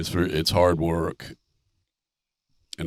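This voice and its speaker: A man with an American accent speaks in a very deep, low pitch at a moderate pace. His intonation is monotone and flat, on a very clean recording with a silent background. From North Carolina, Charlotte. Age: 60s. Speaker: farmer. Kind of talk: casual chat.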